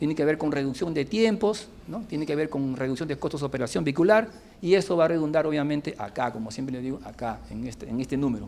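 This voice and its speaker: Barely pausing, a man rattles along at a very fast pace in a fairly high voice with lively intonation. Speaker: civil engineer, former minister giving a lecture. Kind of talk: lecture.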